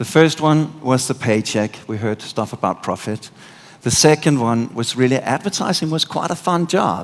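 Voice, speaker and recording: A man with a Danish accent, medium pitch and lively intonation. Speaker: conference speaker. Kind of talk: keynote talk. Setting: stage with audience. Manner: animated.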